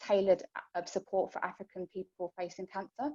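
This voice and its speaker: At a very fast pace, a woman speaks at a medium pitch with a dark, mellow tone in a dry, close sound with no echo. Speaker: cancer charity support worker. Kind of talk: informational talk to support group.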